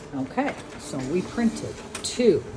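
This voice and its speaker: Over noticeable background noise, a woman's voice swings very widely in pitch. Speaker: crafting tutorial youtuber. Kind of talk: tutorial. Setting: home sewing craft room. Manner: slow and loud.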